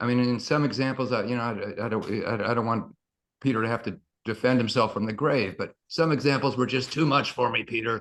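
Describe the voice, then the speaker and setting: A man's medium-pitched voice at a fairly quick pace with ordinary pitch variation. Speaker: book launch panelist. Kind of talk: panel talk. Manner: halting.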